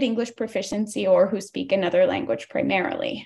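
Fairly quick speech from a woman, with a quiet background. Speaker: environmental justice organizer; public commenter for advocacy group. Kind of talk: public hearing testimony. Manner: fast. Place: home room. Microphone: video call.

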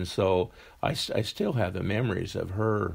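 With vocal fry in his fairly low voice, a man speaks on a very clean recording with a silent background. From Wyoming. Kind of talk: interview answer.

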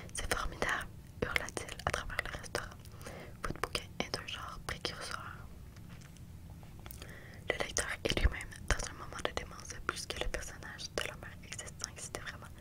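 Whispering and soft-spoken, a woman leaves long, frequent pauses against loud background noise. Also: moderate pace. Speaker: reader of a novel. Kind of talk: audiobook-style reading aloud. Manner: soft close-mic whispered reading. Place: home room. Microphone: studio mic.

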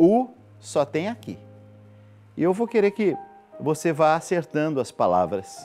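There is faint music in the background as a man speaks. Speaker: TV program host. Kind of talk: live TV appeal to viewers. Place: studio. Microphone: lapel.

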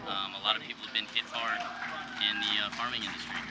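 A man's voice with music in the background. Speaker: actor supporting a candidate. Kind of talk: interview answer. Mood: earnest, thoughtful. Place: street. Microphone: handheld.

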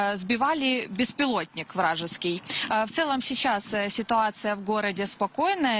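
Against noticeable background noise, a woman with a fairly high pitch talks at a fairly slow pace with ordinary pitch variation. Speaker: news correspondent. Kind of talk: live news report.

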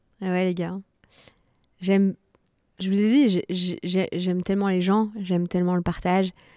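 A woman speaks at a medium pitch in a dark, mellow tone, flat and monotone, at a fairly slow pace with long, frequent pauses. The sound is dry with no echo over a quiet background. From France, Nantes (early childhood in Martinique); France. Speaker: fitness coach and content creator; fitness coach, content creator. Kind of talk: interview. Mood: warm, relaxed. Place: studio. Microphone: studio mic.

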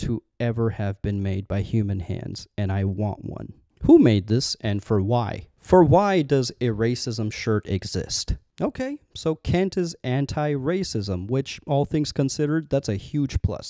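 With a dark, mellow tone and lively intonation, a man speaks at a fairly slow pace in a dry sound with no echo. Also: quiet background. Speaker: video commentator. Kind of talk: comedic commentary. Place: studio. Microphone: handheld.

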